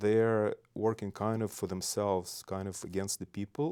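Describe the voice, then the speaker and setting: Speaking in a monotone, flat intonation, a man with a Belarusian accent has a dark, mellow tone, captured in a very clean recording with a silent background. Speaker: state legislator. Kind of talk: casual interview.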